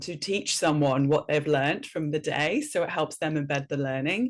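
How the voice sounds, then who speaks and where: Very deep and low in pitch, a woman speaks at a moderate pace with a slight Welsh accent. The recording is very clean, with a silent background. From north Wales. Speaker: educator and speaker. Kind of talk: podcast interview.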